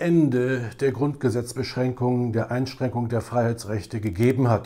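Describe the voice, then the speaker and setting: Speaking at a moderate pace and medium pitch, a man has a dark, mellow tone over a quiet background. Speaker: political commentator. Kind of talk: political commentary to camera. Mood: critical, earnest. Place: home room. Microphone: lapel.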